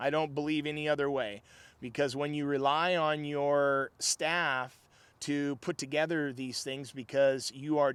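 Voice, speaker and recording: Fairly high-pitched and flat in intonation, a man speaks at a fairly slow pace on a very clean recording with a silent background. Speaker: prepper channel host. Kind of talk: casual commentary. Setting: outdoors on a tractor. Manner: occasional stutter.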